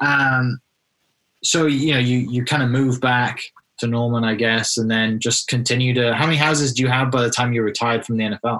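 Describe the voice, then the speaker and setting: A man with a British accent talks at a fairly quick pace in a flat monotone. His medium-pitched voice has a bright, sharp tone and very even loudness. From UK. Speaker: podcast host and real estate agent. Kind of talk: interview conversation.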